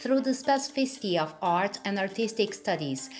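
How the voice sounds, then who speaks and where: A woman with a non-native accent talks at a fairly quick pace with lively intonation. Noticeable background noise runs underneath. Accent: non-native English speaker. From Brazil. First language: Portuguese. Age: middle-aged. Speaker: artist and researcher. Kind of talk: academic research presentation.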